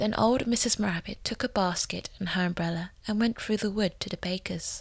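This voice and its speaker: Speech comes at a moderate pace. There is a somewhat breathy quality to the voice. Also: woman, medium pitch for a woman. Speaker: voice actor. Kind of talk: storybook reading. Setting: home recording demo.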